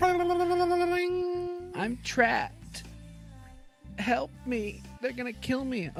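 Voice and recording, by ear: A man puts on a character voice at an extremely high pitch, speaking at a very slow pace with clear music in the background.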